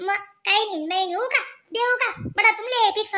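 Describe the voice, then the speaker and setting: Using a squeaky, put-on character voice, a woman speaks at a fairly slow pace. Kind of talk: rural comic cartoon dialogue. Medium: cartoon. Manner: fast, scolding, rambling.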